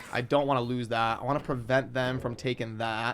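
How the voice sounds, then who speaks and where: A man's voice amid noticeable background noise. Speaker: gaming content creator. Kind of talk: live gameplay commentary. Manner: fast.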